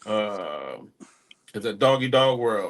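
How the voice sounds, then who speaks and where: A man speaks with a Texan accent. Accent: Texan country. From small-town Texas. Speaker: hip-hop artist. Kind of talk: podcast interview. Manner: casual, profane.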